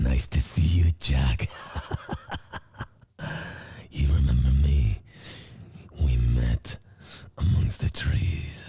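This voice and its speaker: A man uses a menacing put-on character voice at a very deep, low pitch. He speaks very slowly, with long, frequent pauses. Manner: demonic, menacing.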